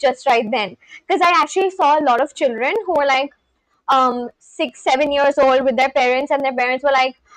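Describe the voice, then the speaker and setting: A woman with an Indian accent speaks in a high voice at a moderate pace, with ordinary pitch variation and very even loudness. The sound is dry and close, with no echo. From India, West Bengal. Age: 20s. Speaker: live streamer. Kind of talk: casual chat.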